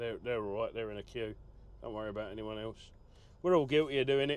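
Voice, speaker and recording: A man talks at a very fast pace and a medium pitch. His intonation stays fairly even. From southern England, Essex. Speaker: truck driver vlogger. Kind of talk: casual vlog monologue. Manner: rambling conversational with fillers.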